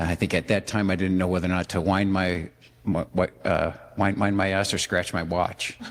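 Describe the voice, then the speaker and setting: The voice holds a very even loudness and a monotone, flat intonation while moving at a moderate pace. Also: man, very deep, low pitch for a man. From Detroit, US Midwest. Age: 60s. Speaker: dating show contestant. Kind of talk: casual chat. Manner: halting.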